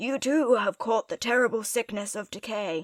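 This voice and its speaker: Putting on a raspy character voice, a woman speaks at a moderate pace with a fairly high pitch. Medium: read story. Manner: formal, solemn.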